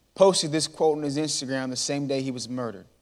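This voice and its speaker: At a fairly quick pace, a man speaks in a plain, everyday voice with ordinary pitch variation on a very clean recording with a silent background. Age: 20s. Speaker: motivational speaker. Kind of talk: inspirational talk. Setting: church stage with audience.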